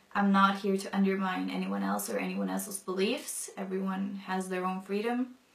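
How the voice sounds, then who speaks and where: Over noticeable background noise, a woman speaks at a moderate pace with hardly any pauses. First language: non-English mother tongue. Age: 20s. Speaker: convert sharing her story. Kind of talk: testimony. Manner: casual with many fillers.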